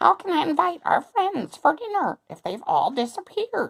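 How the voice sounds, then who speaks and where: A squeaky, high-pitched put-on character voice at a moderate pace, with very wide pitch swings. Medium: read story.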